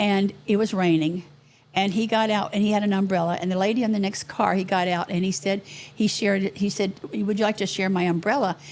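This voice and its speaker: A normal speaking voice at a fairly quick pace. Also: woman. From Southwest Florida, Naples. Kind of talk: interview answer, storytelling.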